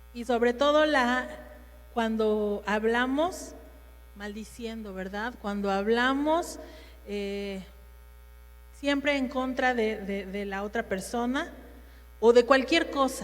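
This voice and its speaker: At a very slow pace with long, frequent pauses, a woman speaks in a fairly high voice with ordinary pitch variation and big swings in loudness, with audible room echo. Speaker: women's ministry speaker. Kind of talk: sermon.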